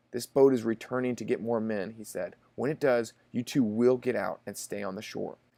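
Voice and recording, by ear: The text is read aloud in a natural voice.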